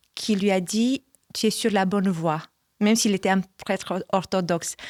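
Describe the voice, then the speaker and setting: In a Romanian accent, the speaker goes at a fairly slow pace with fairly even intonation and big swings in loudness, in a dry, close sound with no echo. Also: woman, medium pitch for a woman, very clean recording, silent background. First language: Romanian (speaking French). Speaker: church communications manager. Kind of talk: testimony. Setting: studio.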